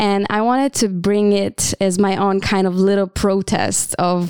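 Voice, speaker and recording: On a very clean recording with a silent background, a woman speaks with an Israeli accent. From Israel (Tel Aviv). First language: Hebrew. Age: 30s. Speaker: social entrepreneur and dancer. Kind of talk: interview. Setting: studio. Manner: hesitant, many fillers.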